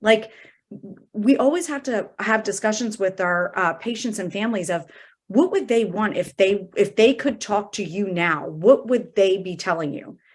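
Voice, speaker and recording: In a very clean recording with a silent background, a woman speaks in an unremarkable speaking voice. Her medium pitch shows ordinary variation, while her loudness swings widely. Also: moderate pace. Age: 40s. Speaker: hospice and palliative medicine physician. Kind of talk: interview conversation.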